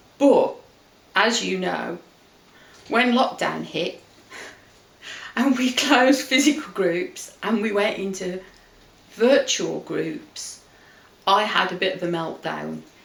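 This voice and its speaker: The speaker goes at a very slow pace with long, frequent pauses in an English accent, over noticeable background noise. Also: woman. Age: 50s. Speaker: weight-loss group consultant. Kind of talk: casual chat.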